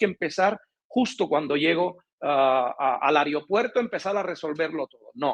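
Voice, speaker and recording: An animated man's voice with big swings in loudness and a dry, close sound with no echo. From Cuba. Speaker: relocation consultant. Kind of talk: interview.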